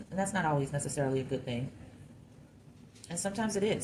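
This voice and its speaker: Ordinary pitch variation from a woman, with room echo audible around her. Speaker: clay sculptor. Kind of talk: tutorial. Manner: casual thinking aloud.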